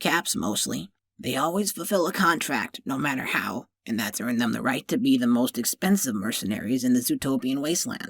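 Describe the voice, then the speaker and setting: In a put-on character voice at a low-to-middle pitch, the speaker talks with hardly any pauses. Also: fairly quick pace. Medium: read story. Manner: curt and guarded.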